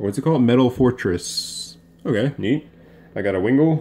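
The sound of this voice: The voice has a slightly mellow tone with a slightly husky edge. It moves at a moderate pace with lively intonation. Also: man, medium pitch for a man.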